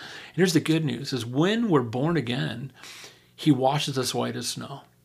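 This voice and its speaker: A man with an American accent speaks at a fairly quick pace. His voice has vocal fry. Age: 60s. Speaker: pastor. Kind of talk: podcast interview about scripture.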